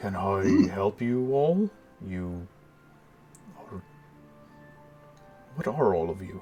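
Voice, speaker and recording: A man in a put-on character voice rumbles at a fairly low pitch and a very slow pace, with lively intonation, big swings in loudness and long, frequent pauses. Clear music plays in the background. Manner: curious, wary.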